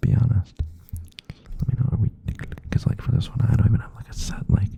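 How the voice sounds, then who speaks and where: Someone is whispering at a very fast pace. Noticeable background noise runs underneath. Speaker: ASMR creator. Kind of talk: ASMR rambling chat. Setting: close to the microphone. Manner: rambling, filler-heavy.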